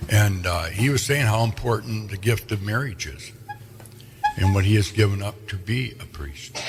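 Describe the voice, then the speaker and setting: A man with an American accent talks at a moderate pace and a fairly low pitch. His pitch variation is ordinary, and there is noticeable background noise. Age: 70s. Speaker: local radio host. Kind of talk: casual interview chat.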